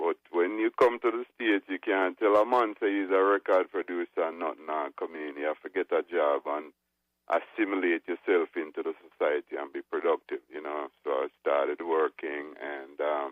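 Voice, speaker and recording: Speech in a Jamaican accent with hardly any pauses. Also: man, moderate pace. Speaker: reggae record producer. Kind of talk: interview.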